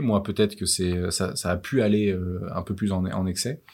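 In a very clean recording with a silent background, a man talks in a very deep, low pitch with fairly even intonation. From France, Versailles. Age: 30s. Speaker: travel entrepreneur. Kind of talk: interview. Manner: halting, many fillers.

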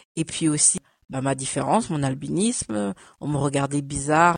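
A woman talks at a fairly slow pace with ordinary pitch variation, the sound dry and close with no echo against a quiet background. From France, arrived from Cameroon at 5. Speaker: photo model and image consultant. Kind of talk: casual interview.

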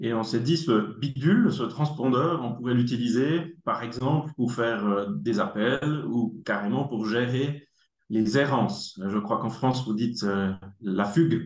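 A man with a Swiss accent speaks at a very slow pace. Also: medium pitch for a man, ordinary pitch variation. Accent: Neuchâtel Swiss French. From Germany. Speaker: tech company executive, engineer. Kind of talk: casual interview.

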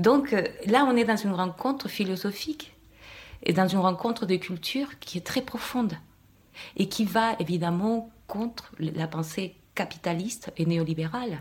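Somewhat breathy, a woman with a Spanish accent speaks at a fairly slow pace with lively intonation. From Chile. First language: Spanish (speaking French). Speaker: podcast guest, Chilean woman. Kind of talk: public panel discussion. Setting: live event with audience.

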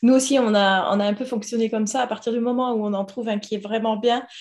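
A woman speaks at a fairly quick pace in a monotone, flat delivery. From Toulouse, southern France. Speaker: podcast host, guest house owner. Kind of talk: interview.

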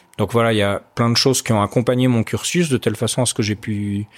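A normal speaking voice moves at a fairly quick pace with ordinary pitch variation, in a very clean recording with a silent background and a dry, close sound with no echo. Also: man. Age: 40s. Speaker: entrepreneur, former army officer. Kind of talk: interview.

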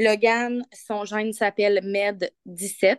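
A woman with a Quebec accent speaks at a very slow pace in a flat monotone. The sound is dry and close, with no echo. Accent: Québécois French. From Quebec, Victoriaville. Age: 30s. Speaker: caregiver mother. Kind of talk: casual interview chat. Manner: halting, frequent repetitions.

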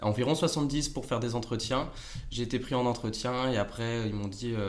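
A man at a moderate pace, with audible room echo. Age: 20s. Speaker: sports science student. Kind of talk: casual interview. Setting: podcast recording. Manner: hesitant with fillers.

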